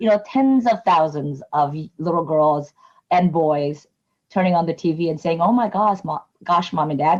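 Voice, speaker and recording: Her pitch is fairly low with ordinary variation as this woman, who has an unremarkable speaking voice, talks at a moderate pace. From immigrant, moved to US at age nine. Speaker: nonprofit community advocate leader. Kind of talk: interview.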